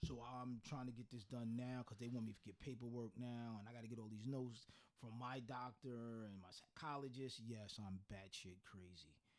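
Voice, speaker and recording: Using an ordinary speaking voice, a man talks at a moderate pace with fairly even intonation and hardly any pauses. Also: medium pitch for a man. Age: 50s. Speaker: podcast co-host. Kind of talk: casual chat.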